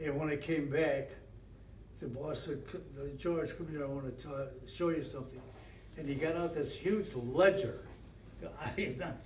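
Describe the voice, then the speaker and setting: A man with an American accent speaks at a fairly high pitch with fairly even intonation and long, frequent pauses, amid noticeable background noise and audible room echo. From Western New York. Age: 90s. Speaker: retired football coach and teacher. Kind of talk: interview reminiscence. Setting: at old stadium. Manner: halting, many fillers and repeats.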